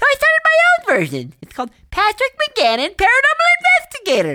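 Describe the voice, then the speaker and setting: This put-on character voice is squeaky and bubbly, extremely high in pitch, and moves at a moderate pace. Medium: audio drama. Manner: bubbly, excitable, folksy exclamations.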